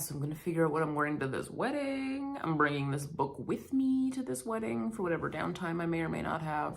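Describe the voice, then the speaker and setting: Very deep and low for a woman, her voice makes very wide pitch swings at a moderate pace. The recording has audible room echo and noticeable background noise. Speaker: book vlogger. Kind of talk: casual vlog talk to camera.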